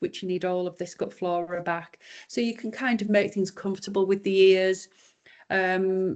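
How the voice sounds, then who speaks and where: A woman with a Yorkshire accent talks at a medium pitch against a quiet background. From Yorkshire, northern England. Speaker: raw dog food business owner. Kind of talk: podcast interview.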